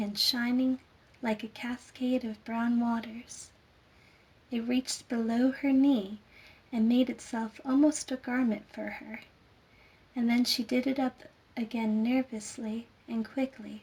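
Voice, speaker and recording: Soft-spoken and gentle in tone, a woman talks at a high pitch with monotone, flat intonation, at a fairly slow pace broken by long, frequent pauses. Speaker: storyteller. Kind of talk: sleep story. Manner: soft-spoken, gentle.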